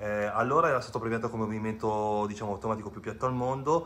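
Very fast delivery with fairly even intonation over light background noise. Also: man. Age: 50s. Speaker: watch collector. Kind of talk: casual video presentation. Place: home room. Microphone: video call.

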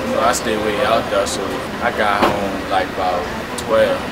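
Loud background noise sits behind a man's voice. He talks at a moderate pace with ordinary pitch variation. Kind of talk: casual vlog chat. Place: street. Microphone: phone near.

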